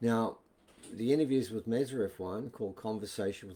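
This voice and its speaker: A man with an Australian accent speaks at a moderate pace in a medium pitch, his tone dark and mellow and his pitch varying in an ordinary way. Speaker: author and alternative history presenter. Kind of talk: casual video talk. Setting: live video stream.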